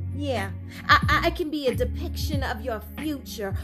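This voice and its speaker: The speech moves at a fairly slow pace. Music plays in the background. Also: woman. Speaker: spoken word poet. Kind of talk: spoken word poetry reading. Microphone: phone near.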